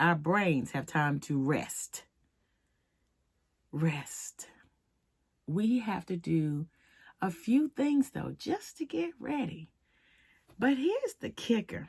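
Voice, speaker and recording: A woman with a fairly low, somewhat breathy voice moves through very wide pitch swings at a very slow pace, with long, frequent pauses, in a dry, close sound with no echo. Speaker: wellness channel host. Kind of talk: casual advice talk.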